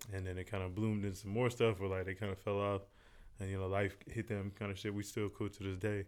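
A man with an American accent speaks at a very fast pace. His fairly low voice stays monotone and flat. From US South, Fayetteville, North Carolina. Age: 30s. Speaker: rapper and producer. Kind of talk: casual chat.

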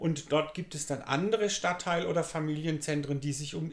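Speaking at a moderate pace, a man with a fairly high, somewhat breathy voice shows ordinary pitch variation. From Germany, Pforzheim (Baden-Württemberg). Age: 60s. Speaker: youth work manager. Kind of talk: interview. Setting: community centre.

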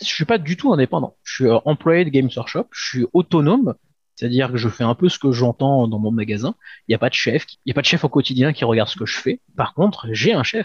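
A man with a medium-pitched, somewhat breathy voice talks at a fairly quick pace with lively intonation. The recording is dry and close with no echo, over a quiet background. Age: 40s. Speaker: shop manager. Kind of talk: interview. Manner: halting, many fillers.

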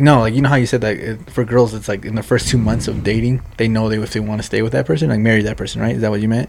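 Speaking very fast with hardly any pauses, a man with a Spanish accent uses a medium pitch and ordinary pitch variation. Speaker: podcast co-host. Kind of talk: casual banter.

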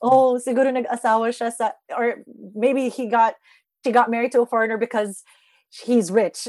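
A woman speaks with a high pitch and fairly even intonation. Long, frequent pauses break up her speech. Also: moderate pace, dry, close sound with no echo. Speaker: beauty pageant titleholder and TV host. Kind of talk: podcast interview. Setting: remote call.

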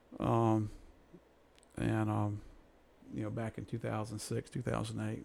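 With an American accent, a man speaks at a fairly slow pace with long, frequent pauses. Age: 60s. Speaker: credit union executive. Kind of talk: interview.

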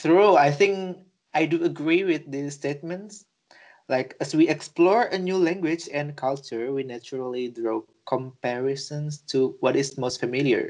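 A man with an Indonesian accent talks at a fairly slow pace, his pitch fairly high. His pitch variation is ordinary, and the background is quiet. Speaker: podcast co-host. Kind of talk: casual chat. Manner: halting.

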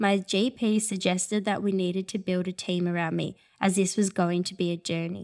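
A woman with an Australian accent speaks at a medium pitch and a moderate pace in monotone, flat intonation. The recording is very clean, with a silent background and a dry, close sound with no echo. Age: 20s. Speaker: eating disorder recovery speaker. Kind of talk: testimony.

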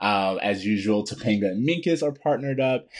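With an unremarkable speaking voice, a man talks at a moderate pace, fairly low in pitch and lively in intonation. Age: 30s. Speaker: TV show fan podcast co-host. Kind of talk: casual chat.

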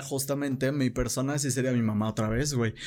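A man speaks with a Mexican accent. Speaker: podcast host. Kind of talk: casual chat. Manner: animated.

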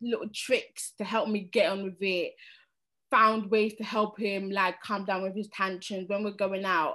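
Against a quiet background, a woman with a bright, sharp tone and fairly high pitch speaks at a moderate pace. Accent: London. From London, raised there from age 8-9; born in Sierra Leone. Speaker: cleaner and single parent. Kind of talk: personal testimony.

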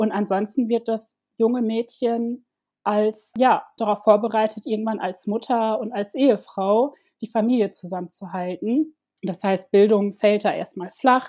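A woman with an ordinary speaking voice talks at a fairly slow pace and a fairly high pitch, with fairly even intonation. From Ivory Coast, Germany from age six. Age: 30s. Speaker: domestic violence survivor and activist. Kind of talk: personal testimony in interview.

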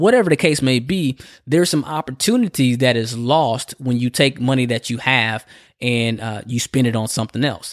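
In a very clean recording with a silent background and a dry, close sound with no echo, a man speaks in an animated tone at a medium pitch with ordinary pitch variation. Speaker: personal finance podcast host. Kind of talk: solo podcast monologue. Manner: fast.

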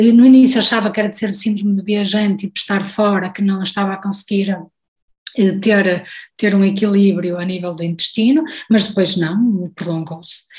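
At a moderate pace, a woman talks at a medium pitch with fairly even intonation and a somewhat breathy quality. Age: 40s. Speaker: guest sharing personal health story, recipe social media creator. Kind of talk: interview conversation.

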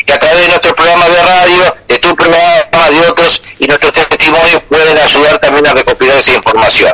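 Noticeable background noise sits behind a fairly quick delivery with hardly any pauses. The intonation is monotone and flat, and the loudness stays very even. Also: man, high pitch for a man. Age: 60s. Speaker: war veteran. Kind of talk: radio call-in conversation.

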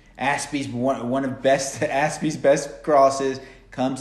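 The speaker has an American accent and a fairly slow pace. Some room echo can be heard. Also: man. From United States. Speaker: football podcast host. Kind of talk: casual chat.

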